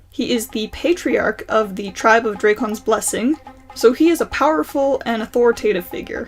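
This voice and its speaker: Music plays behind a woman talking at a moderate pace. Her fairly high voice has lively intonation. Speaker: student animator; college student. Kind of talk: casual talk to camera.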